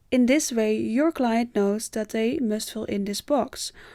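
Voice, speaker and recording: A woman in a Dutch accent speaks at a moderate pace, her fairly high pitch carrying a dark, mellow tone. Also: very clean recording, silent background. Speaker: tutorial creator. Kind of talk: tutorial.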